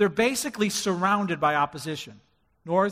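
The text is read aloud plainly. Pitch shifts in an ordinary way.

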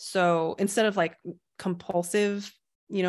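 The woman has an unremarkable speaking voice at medium pitch. She speaks at a moderate pace over a quiet background. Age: 30s. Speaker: meditation teacher. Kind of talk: casual chat.

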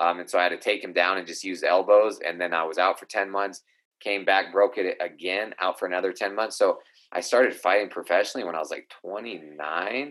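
At a fairly quick pace, a man with an unremarkable speaking voice and fairly low pitch keeps his intonation fairly even. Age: 30s. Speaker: professional MMA fighter. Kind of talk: casual chat.

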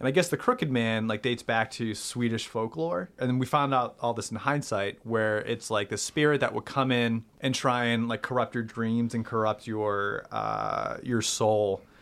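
A man with an American accent talks at a moderate pace and medium pitch with an ordinary speaking voice. His intonation is fairly even and there are hardly any pauses. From Boston area, Massachusetts. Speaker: improv comedian and writer. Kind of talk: storytelling in casual interview.

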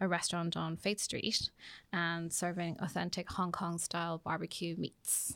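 On a very clean recording with a silent background, a woman with a Dublin accent speaks at a fairly slow pace. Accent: Irish (Dublin). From Ireland. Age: 40s. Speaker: business executive. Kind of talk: interview. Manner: halting.

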